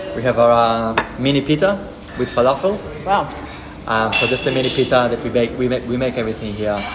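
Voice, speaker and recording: Medium male pitch with ordinary variation, a fairly quick pace and noticeable background noise. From Israel. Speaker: chef and restaurant co-owner. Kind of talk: casual interview chat. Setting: in a restaurant. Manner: hesitant, with many fillers.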